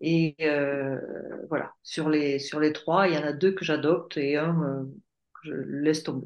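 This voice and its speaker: A woman speaks very slowly in a very deep, low voice. Her intonation stays flat and monotone. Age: 60s. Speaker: life coach. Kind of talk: testimony. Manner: halting.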